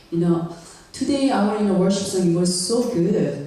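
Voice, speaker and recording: The speaker has a non-native accent. Noticeable background noise runs under the speech. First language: not English. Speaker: guest preacher. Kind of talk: sermon. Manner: halting, many fillers; serious.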